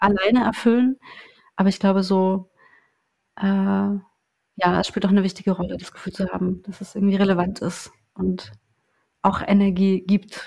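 A woman speaks at a moderate pace with a medium pitch and a somewhat breathy, dark, mellow tone. Her intonation stays flat and monotone. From eastern Germany, small town in Saxony-Anhalt. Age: 30s. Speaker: journalist. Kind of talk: casual chat. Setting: in-person recording in a house.

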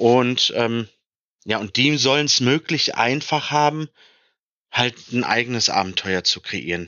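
A man is talking at a medium pitch. His pace is very slow. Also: ordinary pitch variation. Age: 30s. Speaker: tabletop role-playing game designer. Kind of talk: interview.

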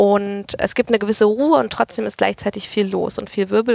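A woman talks at a fairly quick pace, her voice dry and close with no echo. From Germany, Berlin then Freiburg area (Baden-Württemberg). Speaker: political candidate. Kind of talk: interview.

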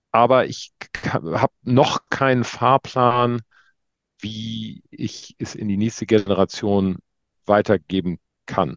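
A man speaks very slowly at a fairly low pitch, with long, frequent pauses and big swings in loudness. His pitch varies in an ordinary way, and the sound is dry and close with no echo. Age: 50s. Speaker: fashion retail business owner. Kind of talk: interview.

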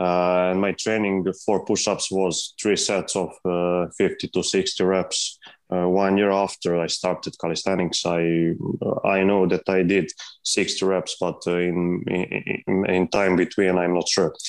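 In a very slow, monotone delivery with flat intonation, a man with a Serbian accent and a very deep, low voice keeps his loudness very even against a quiet background. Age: 20s. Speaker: calisthenics athlete. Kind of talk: interview. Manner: halting.

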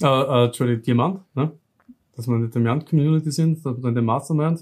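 This man's pitch sits fairly high, with ordinary variation. He speaks with a slight southern Austrian accent. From southern Styria, Austria. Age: 30s. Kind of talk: interview.

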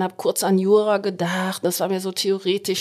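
A woman talks at a moderate pace and medium pitch in an ordinary speaking voice. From Hesse, Germany. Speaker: head midwife. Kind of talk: podcast interview.

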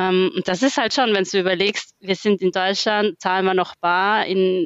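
A woman with a slight Austrian accent, at a fairly slow pace with fairly even intonation. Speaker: management consultant. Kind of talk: casual interview.

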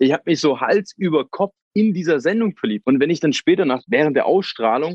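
The sound is dry and close, with no echo and a quiet background. Delivery is fairly quick, with lively intonation. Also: man. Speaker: reality TV contestant. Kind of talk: casual interview. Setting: outdoors.

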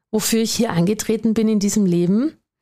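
A woman with an Austrian accent, fairly high-pitched, at a moderate pace with ordinary pitch variation. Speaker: business coach, podcast host, former doctor. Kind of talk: motivational monologue.

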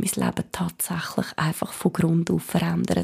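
A woman speaks at a moderate pace with vocal fry and a dark, mellow tone. Her intonation stays monotone and flat. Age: 30s. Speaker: podcast host, small business owner. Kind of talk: personal monologue.

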